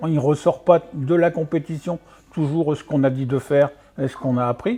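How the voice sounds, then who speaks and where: Fairly high-pitched yet dark and mellow in tone, a man's somewhat breathy voice moves at a moderate pace with ordinary pitch variation. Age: 60s. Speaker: martial arts coach. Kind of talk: radio interview. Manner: halting, many fillers.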